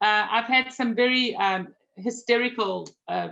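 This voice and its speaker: A woman with a bright, sharp tone and a South African accent, at a fairly slow pace. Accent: South African, noticeable. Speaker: magazine publisher. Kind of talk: interview conversation.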